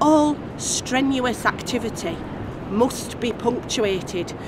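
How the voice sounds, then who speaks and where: Over noticeable background noise, a woman talks at a high pitch with very wide pitch swings. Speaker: performance poet. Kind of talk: poetry reading.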